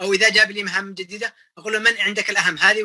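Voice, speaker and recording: Over a quiet background, a man uses a raised, projected voice at a high pitch. He moves at a fairly quick pace. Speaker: electrical systems engineer; guest. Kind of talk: interview.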